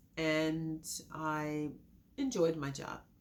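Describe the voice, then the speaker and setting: At a very slow pace, a woman speaks with a very deep, low pitch. Audible room echo surrounds her voice. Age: 60s. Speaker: accident survivor. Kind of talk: testimony.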